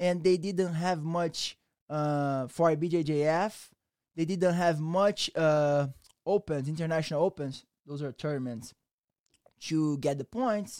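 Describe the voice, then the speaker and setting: On a very clean recording with a silent background and a dry, close sound with no echo, a man with a Brazilian accent speaks fairly slowly in a fairly high voice with ordinary pitch variation. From Brazil, Rio de Janeiro. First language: Portuguese. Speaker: jiu-jitsu instructor. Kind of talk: casual interview chat.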